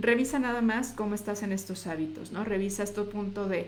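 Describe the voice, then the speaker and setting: A woman with a medium pitch talks at a moderate pace. Her intonation stays fairly even, and the room echo is audible. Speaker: nutritionist. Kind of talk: live stream talk. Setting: live video on social media.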